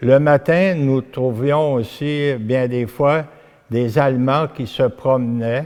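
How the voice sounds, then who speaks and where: The man's voice is dark and mellow. His pitch moves up and down a normal amount. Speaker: local elder interviewed in documentary. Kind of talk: interview reminiscence. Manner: halting.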